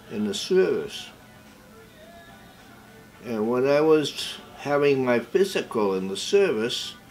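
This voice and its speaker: Over music in the background, a man with an American accent talks at a very slow pace, with very wide pitch swings and long, frequent pauses. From Massachusetts, USA. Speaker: World War 2 navy veteran. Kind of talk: interview answer.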